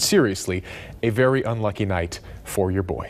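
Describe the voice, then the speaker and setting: A man speaks in a playful tone. His delivery is full of energy. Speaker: sports anchor and reporter. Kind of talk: sports highlight narration. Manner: playful, energetic.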